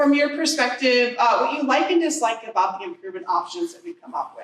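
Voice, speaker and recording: The speaker is a woman. Her pitch is high. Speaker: transportation agency planner. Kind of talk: presentation. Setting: community meeting with audience. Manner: loud.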